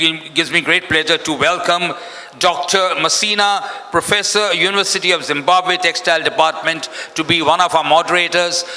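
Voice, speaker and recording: A man's high-pitched voice at a moderate pace, over noticeable background noise. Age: 70s. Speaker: event MC. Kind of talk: event emceeing. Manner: animated.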